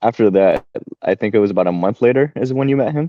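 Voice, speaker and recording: Man with lively intonation. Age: 20s. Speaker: former youth group leader. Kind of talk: casual chat.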